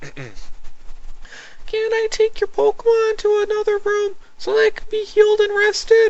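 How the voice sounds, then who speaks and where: A put-on character voice sits at an extremely high pitch, moving at a moderate pace with long, frequent pauses. There is light background noise. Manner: sweet, polite.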